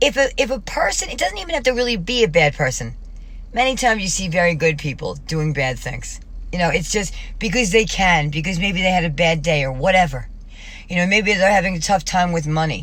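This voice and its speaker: A woman talks at a fairly quick pace with lively intonation, and audible room echo surrounds her voice. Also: medium pitch for a woman. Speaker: vlogger. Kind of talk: personal video diary monologue. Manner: fast; rambling, halting.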